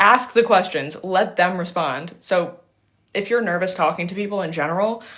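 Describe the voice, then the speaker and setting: With audible room echo, the speaker moves at a moderate pace and varies pitch in an ordinary way. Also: woman, medium pitch for a woman. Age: 20s. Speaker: livestreamer giving life and business advice. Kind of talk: casual livestream Q&A. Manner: casual, filler-heavy with self-corrections.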